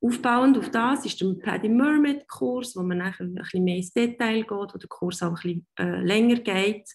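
Somewhat breathy and at a moderate pace, the voice has lively intonation over a quiet background. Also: woman. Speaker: dive instructor. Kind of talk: online presentation. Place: home room. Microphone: webcam.

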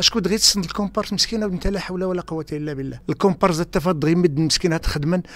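A man talks in a high pitch, and the sound is dry with no echo. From Khemisset region, Morocco; Morocco. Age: 60s. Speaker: film extra, retired soldier. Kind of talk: radio interview. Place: studio.

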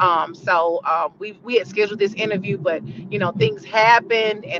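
There is noticeable background noise behind the speaker. A woman talks at a moderate pace. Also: dry sound with no echo. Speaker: interview guest. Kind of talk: interview answer. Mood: warm, earnest. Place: car. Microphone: video call.

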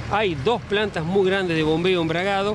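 Clear background noise sits behind the speaker. A man with a high voice talks with fairly even intonation.

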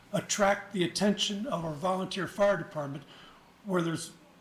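At a moderate pace, a man with a high voice talks over noticeable background noise. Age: 70s. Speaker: volunteer firefighter speaking at public comment. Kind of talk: public comment at county meeting. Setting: county commission meeting. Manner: halting.

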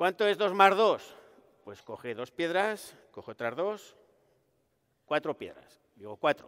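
At a very slow pace, a man talks with lively intonation, big swings in loudness, and long, frequent pauses over a quiet background. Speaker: researcher comedian. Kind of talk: stand-up science monologue. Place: hall.

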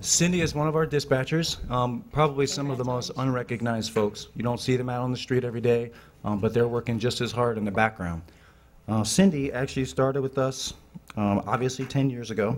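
A man speaking at a fairly quick pace with ordinary pitch variation. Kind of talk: award presentation speech. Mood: warm, appreciative. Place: meeting room. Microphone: podium.

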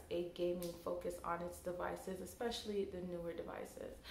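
A woman's monotone, flat delivery, with audible room echo and light background noise. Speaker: tech blogger. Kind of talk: casual vlog commentary. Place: home room.

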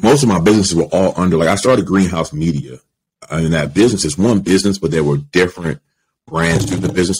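A man's very deep, low voice with an American accent and lively intonation. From Baltimore, Maryland. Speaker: media entrepreneur; podcast guest. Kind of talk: interview conversation. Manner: casual, filler-heavy. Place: home room. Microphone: studio mic.

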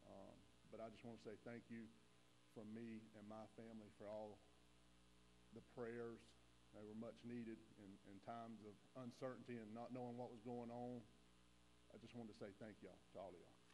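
Over light background noise, a man talks at a fairly quick pace in a monotone with flat intonation. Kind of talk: welcome, prayer and personal thanks. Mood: grateful, emotional. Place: church. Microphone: lapel.

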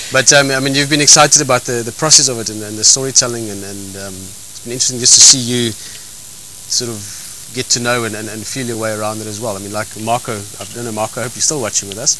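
A man rattles along at a very fast pace, the sound dry with no echo and noticeable background noise behind him. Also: fairly even intonation. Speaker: host. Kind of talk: casual chat. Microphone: handheld.

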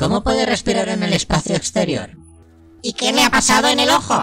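Clear music plays in the background. A man uses a put-on character voice, high in pitch, at a fairly quick pace. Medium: dub.

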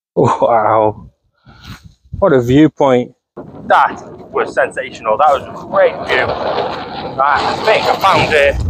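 Noticeable background noise sits behind a man talking very slowly. He leaves long, frequent pauses. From England. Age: 30s. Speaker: travel vlogger. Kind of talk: walking vlog narration. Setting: outdoors. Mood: awed, enthusiastic. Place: open country. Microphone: phone near.

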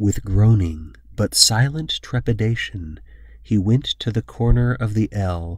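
Reading aloud in a natural voice, with ordinary pitch variation

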